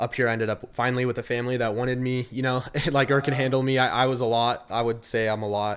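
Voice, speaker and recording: With an American accent, a man speaks at a very fast pace in a monotone, flat intonation. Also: medium pitch for a man. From Idaho, US. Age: 20s. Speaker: musician. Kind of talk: casual interview chat. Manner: halting, many fillers.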